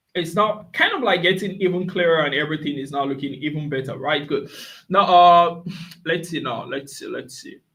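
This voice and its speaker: In a room with audible echo, a man with a high pitch talks at a fairly quick pace, using ordinary pitch variation and big swings in loudness. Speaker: forex trader and signals provider. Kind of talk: live trading stream commentary. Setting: live stream. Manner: fast; filler-heavy, repetitive.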